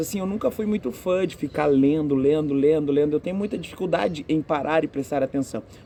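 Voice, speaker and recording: A man's dark, mellow voice at a moderate pace. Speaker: physical education teacher. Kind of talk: interview answers.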